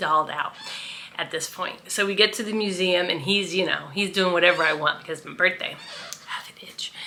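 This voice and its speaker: A woman speaks at a fairly quick pace and medium pitch with fairly even intonation over noticeable background noise. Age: 50s. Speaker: vlogger. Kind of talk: casual vlog storytelling. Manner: loud; chatty, with fillers.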